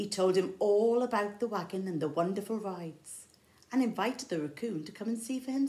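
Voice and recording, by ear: Someone is reading aloud in a natural voice. The words come across as read from a text.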